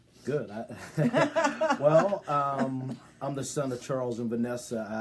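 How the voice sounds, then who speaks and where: A man with an American accent speaks very slowly, using ordinary pitch variation. Noticeable background noise is present. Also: medium pitch for a man. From Pittsburgh area and Dallas, Texas. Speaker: insurance business owner. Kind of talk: casual interview on livestream. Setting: Facebook Live video.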